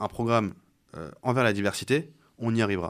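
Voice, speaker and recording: Ordinary pitch variation marks a man's moderate delivery, captured on a very clean recording with a silent background. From Rouen, Normandy. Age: 20s. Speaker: football club president and candidate. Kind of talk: radio interview.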